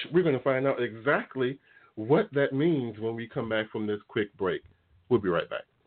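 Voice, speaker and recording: A man talks with a normal speaking voice at medium pitch. His pitch varies in an ordinary way, and his pace is moderate. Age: 40s. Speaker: talk radio host. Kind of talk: casual chat. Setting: studio.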